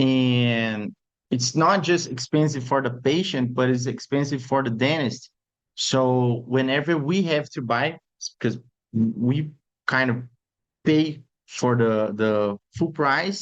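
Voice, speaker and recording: This man talks at a very slow pace with a Brazilian accent. His pitch sits in the medium range for a man, with ordinary variation. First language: Portuguese. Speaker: orthodontist. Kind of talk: webinar lecture. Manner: halting.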